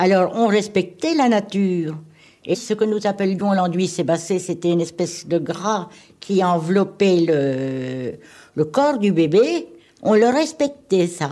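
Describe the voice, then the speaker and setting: With a dark, mellow tone at a medium pitch, a woman speaks at a very slow pace using lively intonation. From Normandy. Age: 70s. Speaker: retired midwife. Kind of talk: interview answer. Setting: archival radio recording.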